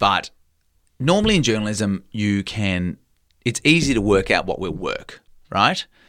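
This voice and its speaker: A man with an Australian accent, fairly low in pitch and lively in intonation, at a fairly slow pace with long, frequent pauses. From Country Victoria, Australia. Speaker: TV business reporter. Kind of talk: interview conversation.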